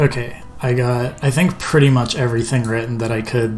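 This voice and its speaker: Fairly quick, fairly even-toned speech over faint background music. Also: man. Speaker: student game developer; game developer streamer. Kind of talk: casual devlog narration. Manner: halting, many fillers. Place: home room. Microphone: headset.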